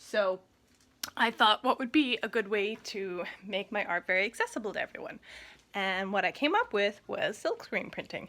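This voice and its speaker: Her pitch is fairly high, with ordinary variation, as a woman speaks in a West Coast Canadian accent. She keeps a moderate pace. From Coast Salish First Nation, Gulf Islands, British Columbia. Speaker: artist. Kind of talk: tutorial. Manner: casual, friendly.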